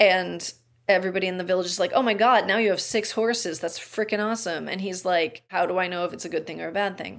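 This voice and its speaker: A woman's very fast, medium-pitched speech with vocal fry and fairly even intonation, on a very clean recording with a silent background. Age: 40s. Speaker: podcast host, almost-ordained minister. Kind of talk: casual chat.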